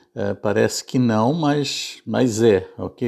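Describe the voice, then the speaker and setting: The audio is very clean and the background silent. In it, a man delivers his words at a very slow pace. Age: 70s. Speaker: YouTuber. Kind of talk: casual monologue. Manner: halting, many fillers and repetitions.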